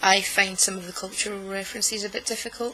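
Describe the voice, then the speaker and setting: With a Scottish accent, a woman speaks at a medium pitch in monotone, flat intonation amid noticeable background noise. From Scotland. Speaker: knitting vlogger. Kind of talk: casual vlog monologue. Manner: deliberately slow; hesitant, many fillers.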